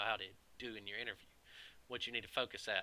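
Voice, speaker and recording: Bright and sharp in tone, a man with a Southern US accent speaks at a very fast pace. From US South. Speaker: IT professional and video creator. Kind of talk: casual opinion monologue. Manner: animated, conversational.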